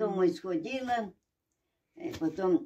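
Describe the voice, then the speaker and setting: This woman's voice swings very widely in pitch. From Russia. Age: 80s+. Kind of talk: interview answer.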